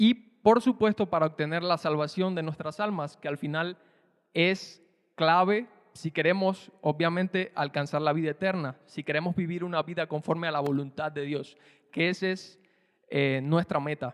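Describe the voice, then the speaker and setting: Dry and close with no echo, a man's voice sits high in pitch. He keeps a moderate pace with ordinary pitch variation. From Cuba. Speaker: preacher. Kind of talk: prayer; sermon.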